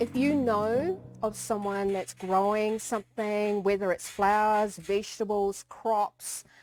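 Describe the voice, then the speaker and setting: A woman with fairly even intonation and hardly any pauses, music in the background. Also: medium pitch for a woman, fairly slow pace, very even loudness. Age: 50s. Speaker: vanilla farmer and entrepreneur. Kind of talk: personal interview answers. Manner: hesitant, many fillers.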